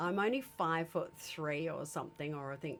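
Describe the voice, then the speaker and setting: With an Australian accent, a woman speaks at a fairly slow pace. Her voice sits fairly low in pitch. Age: 60s. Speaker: podcast host. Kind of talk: interview. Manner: halting.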